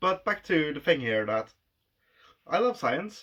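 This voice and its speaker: The tone is bright and sharp, the pace fairly slow, and the pitch swings very widely. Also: man. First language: not English. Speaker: vlogger. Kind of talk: casual monologue.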